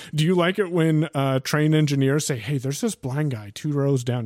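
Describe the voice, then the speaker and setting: Speaking at a fairly quick pace with hardly any pauses, a man uses a fairly high pitch and ordinary pitch variation. The recording is very clean, with a silent background. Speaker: guest co-host and radio host. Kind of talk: casual chat.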